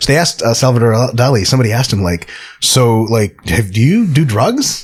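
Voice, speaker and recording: Speaking at a fairly quick pace, a man uses a medium pitch with ordinary variation, a somewhat breathy voice and very even loudness. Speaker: podcast host, sport scientist. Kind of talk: casual chat.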